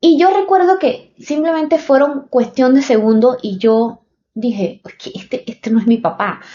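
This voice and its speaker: A woman with a Panamanian accent speaks in a high voice that swings very widely up and down. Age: 30s. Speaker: podcaster. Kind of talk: personal storytelling podcast. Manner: halting, many fillers.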